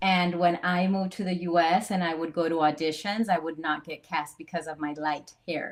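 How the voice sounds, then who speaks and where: With a Spanish accent, a woman talks at a moderate pace and a fairly low pitch, hardly pausing at all. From Latin America (Central America). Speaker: actress. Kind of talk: casual panel discussion. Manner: animated.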